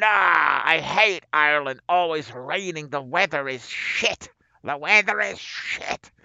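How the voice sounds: A man speaks at a fairly slow pace in a put-on character voice. His pitch sits fairly high.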